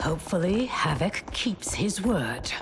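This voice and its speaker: Over clear background noise, a woman performs a put-on character voice at a fairly slow pace. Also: medium pitch for a woman. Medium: short film.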